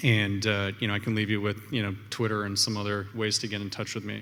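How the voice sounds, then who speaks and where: Against audible room echo, a man with a fairly low pitch and a bright, sharp tone speaks in a monotone, flat way at a moderate pace. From Canada. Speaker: entrepreneur. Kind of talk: conference talk. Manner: many fillers and repetitions.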